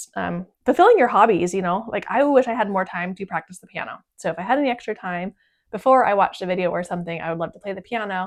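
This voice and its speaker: Over a quiet background, a woman talks at a very fast pace with big swings in loudness. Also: medium pitch for a woman, ordinary pitch variation. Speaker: homesteading vlogger. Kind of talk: casual Q&A monologue.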